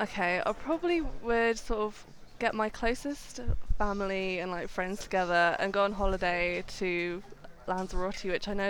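At a moderate pace, a woman with a southern English accent talks at a medium pitch with ordinary pitch variation. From southern England, near Reading. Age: 20s. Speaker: makeup and prosthetics artist, social media creator. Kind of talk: casual interview.

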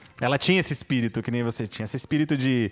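This man speaks at a medium pitch. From São Paulo, Brazil. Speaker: podcast host. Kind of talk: casual chat. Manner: halting.

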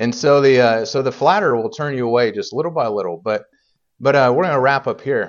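The speaker has an American accent and a fairly quick pace. The intonation is lively. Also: man, medium pitch for a man. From Indiana, US Midwest. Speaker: preacher. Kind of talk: sermon. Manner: halting, many fillers.

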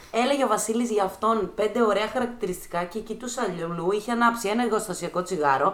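Speaking at a fairly quick pace with hardly any pauses, a woman has an unremarkable speaking voice, fairly high pitch and ordinary pitch variation. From Greece, Thessaloniki. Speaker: dancer and choreographer. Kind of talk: casual chat.

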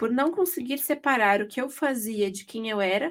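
This is a woman speaking. Her pitch is high. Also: very clean recording, silent background. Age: 20s. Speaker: podcast host, journalist. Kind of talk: casual chat.

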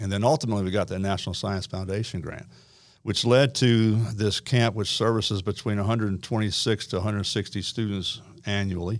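A man's ordinary speaking voice, fairly low in pitch, at a fairly quick pace with fairly even intonation, on a very clean recording against a silent background. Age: 60s. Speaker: retired army officer and school program administrator. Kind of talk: interview. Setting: studio.

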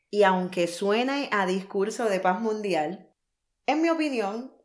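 A normal speaking voice with lively intonation. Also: woman. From Puerto Rico. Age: 30s. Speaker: podcast host, life coach. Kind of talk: scripted monologue.

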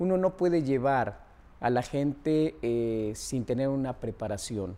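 Lively intonation and a dark, mellow tone, with a central Mexican accent. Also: man. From Mexico, Puebla. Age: 70s. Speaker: mountaineer and expedition leader. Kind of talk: monologue interview.

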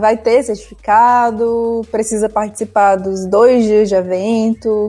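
Here is a woman with an unremarkable speaking voice and a fairly high pitch. Her intonation is fairly even. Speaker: radio co-host, journalist. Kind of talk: radio presenting. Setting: radio studio.

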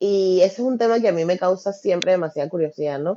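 This woman has a plain, everyday voice, fairly low in pitch, with ordinary pitch variation at a moderate pace. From Venezuela. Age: 30s. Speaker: event producer and podcaster. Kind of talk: interview.

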